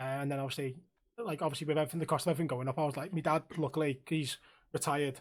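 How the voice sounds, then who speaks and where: Fairly high-pitched and in a Liverpool accent, a man speaks with fairly even intonation. The recording is very clean, with a silent background. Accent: Liverpool (Scouse). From Liverpool, England. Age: 30s. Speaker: streamer and podcast host. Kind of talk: casual chat.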